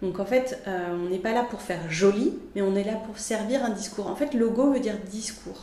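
Speaking at a moderate pace with hardly any pauses, a woman with a fairly high pitch is heard over noticeable background noise. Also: ordinary pitch variation. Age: 40s. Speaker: graphic designer and art director. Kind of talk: interview. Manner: animated; halting.

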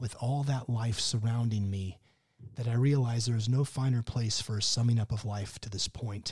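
Reading in an unforced voice

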